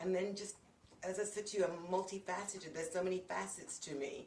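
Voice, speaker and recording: A woman's voice with fairly even intonation, audible room echo and noticeable background noise. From London, England. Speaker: minister, speaker and coach. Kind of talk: casual interview chat.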